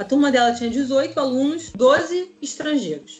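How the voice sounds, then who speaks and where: This woman's voice is high-pitched. Noticeable background noise runs under it. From Rio de Janeiro, Brazil. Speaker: chemical engineer living abroad. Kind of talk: interview.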